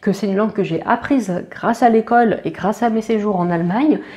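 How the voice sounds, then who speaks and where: At a moderate pace, a woman with a fairly high pitch and ordinary pitch variation speaks over noticeable background noise. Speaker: veterinary student, YouTuber. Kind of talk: casual vlog talk to camera. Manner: hesitant, many fillers.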